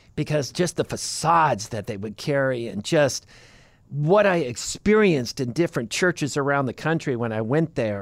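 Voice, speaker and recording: The recording is very clean, with a silent background. A man with an American accent and a fairly high voice speaks at a moderate pace, his pitch swinging very widely. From California. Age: 50s. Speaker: podcast co-host. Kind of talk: casual chat.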